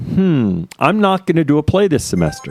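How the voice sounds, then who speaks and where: The recording is very clean with a silent background, capturing a man speaking loudly in a dry, close sound with no echo. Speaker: stream host. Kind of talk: casual chat. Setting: live stream.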